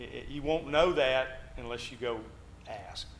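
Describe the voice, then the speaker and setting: The voice carries vocal fry and lively intonation. There is audible room echo. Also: man. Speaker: Bible class teacher. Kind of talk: Bible class discussion.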